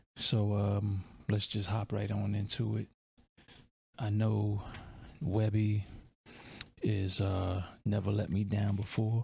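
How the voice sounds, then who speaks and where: A man's fairly low, somewhat breathy voice with a dark, mellow tone, very slow pace, long and frequent pauses, monotone flat intonation and very even loudness, in a very clean recording with a silent background. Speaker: music reaction youtuber. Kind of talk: casual reaction commentary. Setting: home at night, children asleep. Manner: keeping voice down.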